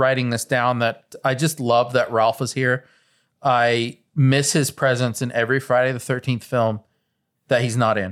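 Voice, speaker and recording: Here a man has a plain, everyday voice at a medium pitch, speaking at a fairly slow pace. The recording is very clean, with a silent background. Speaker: podcast co-host. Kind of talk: casual banter.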